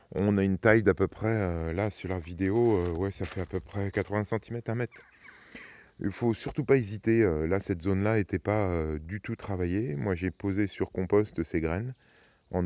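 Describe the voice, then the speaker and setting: This man's pitch is very deep and low, his pace moderate, and his pitch variation ordinary. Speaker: gardening youtuber. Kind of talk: garden tour tutorial. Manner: soft-spoken; hesitant with many fillers.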